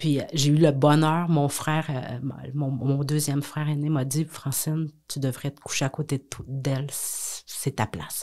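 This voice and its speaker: A woman speaks at a fairly slow pace in a very deep, low voice with a dark, mellow tone. Her intonation is monotone and flat, and the recording is very clean with a silent background. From Quebec, south shore of Montreal. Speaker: businesswoman and philanthropist. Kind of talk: podcast interview. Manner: hesitant, many fillers.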